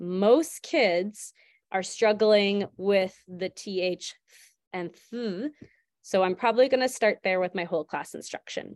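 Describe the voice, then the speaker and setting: With a Canadian accent and a plain, everyday voice, the speech moves at a fairly slow pace with ordinary pitch variation, the sound dry and close with no echo, on a very clean recording with a silent background. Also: woman, medium pitch for a woman. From Alberta, Canada. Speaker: elementary school teacher. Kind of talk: tutorial.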